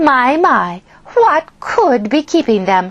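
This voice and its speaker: A woman uses a put-on, hissing character voice at a high pitch. She speaks at a very slow pace with very wide pitch swings. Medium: read story. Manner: smirking, hissing.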